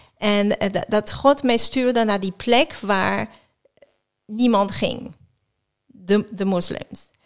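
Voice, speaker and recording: Speaking with a non-native accent, a woman with a fairly high pitch and ordinary pitch variation talks at a very slow pace, leaving long, frequent pauses. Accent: foreign accent in Dutch. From France, near Geneva. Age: 50s. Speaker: sports chaplain. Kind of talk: interview. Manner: halting.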